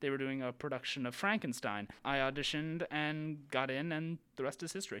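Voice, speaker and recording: A man's fairly high-pitched, bright, sharp voice at a fairly quick pace with hardly any pauses and ordinary pitch variation, on a very clean recording with a silent background. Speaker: theater and journalism student. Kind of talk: casual chat.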